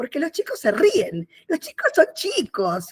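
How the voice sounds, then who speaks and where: A woman's high voice with very wide pitch swings, at a fairly slow pace, in a dry, close sound with no echo. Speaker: writer. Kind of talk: inspirational talk.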